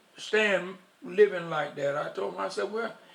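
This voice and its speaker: Ordinary pitch variation and a moderate pace from a man, with noticeable background noise. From US South, Union, South Carolina. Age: 80s+. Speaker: war veteran. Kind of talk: oral history interview.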